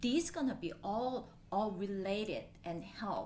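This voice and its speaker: A woman speaks with a Korean accent and lively intonation. There is audible room echo. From Japan (Korean family). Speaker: local politician. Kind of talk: interview.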